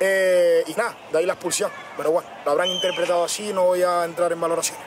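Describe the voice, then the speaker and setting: A man's high-pitched voice, dry and echo-free, over noticeable background noise. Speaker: football coach. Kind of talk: interview answer. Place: stadium.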